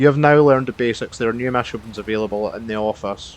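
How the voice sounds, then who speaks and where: A man with a Scottish accent, medium pitch, ordinary pitch variation and a fairly quick pace. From Scotland. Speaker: game streamer. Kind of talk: live gameplay commentary. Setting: live stream. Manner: casual, chatty.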